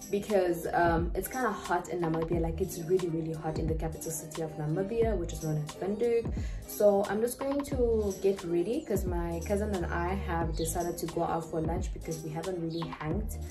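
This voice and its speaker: Over clear background music, a woman talks at a fairly quick pace with hardly any pauses. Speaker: vlogger. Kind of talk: casual vlog chat. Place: kitchen. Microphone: handheld.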